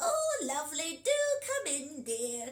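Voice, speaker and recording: Croaky and high-pitched, the put-on character voice cackles at a fairly slow pace. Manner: sweet, feigned.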